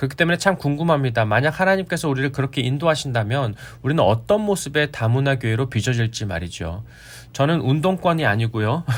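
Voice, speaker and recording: A man's fairly high voice, very fast and lively in intonation, on a very clean recording with a silent background. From Korea. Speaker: pastor. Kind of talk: sermon. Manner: formal.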